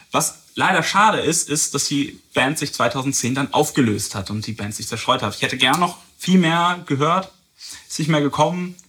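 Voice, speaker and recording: A man's bright, sharp voice, fairly high in pitch. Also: lively intonation, moderate pace. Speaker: podcast host, music reviewer. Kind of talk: casual chat.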